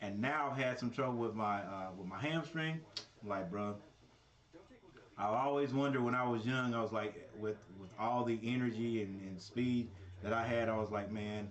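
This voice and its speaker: With audible room echo and noticeable background noise, a man speaks at a moderate pace. His pitch is medium, with ordinary variation. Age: 50s. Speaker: sports commentator. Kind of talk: casual chat. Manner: halting.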